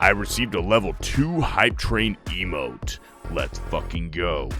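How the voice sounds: Over clear music in the background, a man uses a gravelly, put-on character voice at a fairly slow pace.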